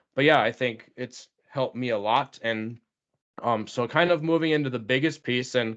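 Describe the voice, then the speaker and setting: A man talks at a moderate pace with medium pitch and ordinary pitch variation. It is a plain, everyday voice. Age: 30s. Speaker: podcast host and elementary school teacher. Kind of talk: casual interview chat.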